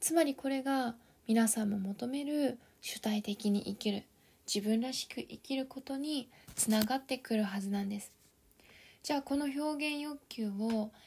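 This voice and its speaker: A woman speaks in an ordinary speaking voice at a moderate pace, her fairly high pitch showing ordinary variation. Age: 30s. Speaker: life coach podcaster. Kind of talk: solo podcast talk. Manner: polite.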